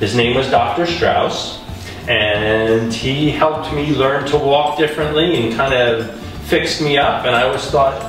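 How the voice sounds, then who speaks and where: Clear music plays behind a man speaking at a fairly slow pace with ordinary pitch variation. His loudness stays very even, and the room echo is audible. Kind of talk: interview answer. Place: hall.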